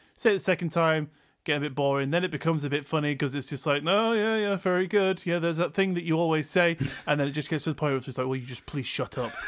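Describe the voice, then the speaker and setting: An animated man at a very fast pace, in a very clean recording with a silent background. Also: fairly high pitch for a man, ordinary pitch variation. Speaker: podcast host. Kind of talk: casual comedic chat, storytelling. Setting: home recording with old microphone. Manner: animated, jokey.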